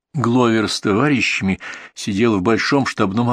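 Pitch moves in an ordinary way. The voice is reading aloud in a natural voice.

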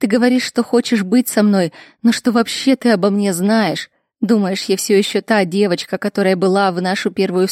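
The speech is plain reading aloud. The background is quiet.

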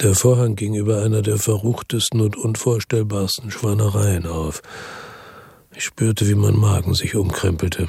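Using a put-on character voice, a man speaks at a moderate pace and a fairly low pitch, his dark, mellow tone carrying vocal fry and a husky, rough edge over fairly even intonation.

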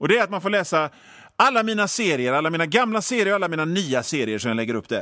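A man talks in a bright, sharp, animated tone with very wide pitch swings. The sound is dry and close, with no echo. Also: very clean recording, silent background. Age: 50s. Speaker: radio host and cartoonist. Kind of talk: comedic monologue.

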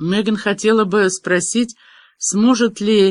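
Over a quiet background, a natural reading voice carries fairly even intonation.

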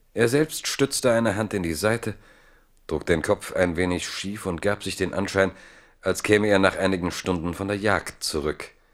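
The recording is very clean, with a silent background. The pace is moderate, and the pitch varies in an ordinary way. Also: man, low pitch for a man.

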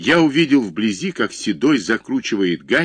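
The text is delivered by reading aloud in a natural voice.

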